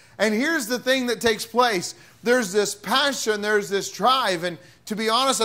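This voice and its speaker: Raised and projected, a man's voice carries a bright, sharp tone with ordinary pitch variation. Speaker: pastor. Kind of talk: sermon. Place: church. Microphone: podium.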